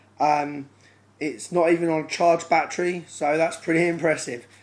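A man's fairly high pitch, monotone and flat, at a fairly quick pace. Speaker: Lego robotics hobbyist. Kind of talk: casual demo talk to camera.

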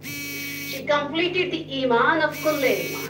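A woman raises and projects her voice at a high pitch. Noticeable background noise sits behind her. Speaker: religious speaker; speaker. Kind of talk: speech. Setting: stage with audience. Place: hall.

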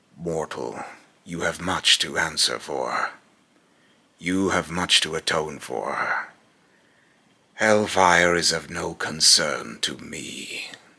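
A man speaks in a put-on character voice with a very deep, low pitch. He goes very slowly, with long, frequent pauses. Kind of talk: dramatic villain voice acting. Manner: contemptuous, grandiose, taunting.

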